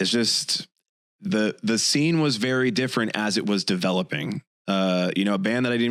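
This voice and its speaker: A plain, everyday voice from a man with an American accent, fairly quick, with ordinary pitch variation. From Chicago suburbs. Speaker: podcast co-host. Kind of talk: casual chat.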